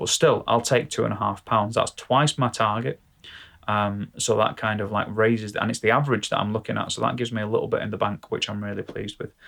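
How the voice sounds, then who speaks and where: A very fast man's voice with a British accent, fairly low in pitch, with fairly even intonation. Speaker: vlogger and gigging musician. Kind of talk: casual vlog monologue. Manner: hesitant, many fillers.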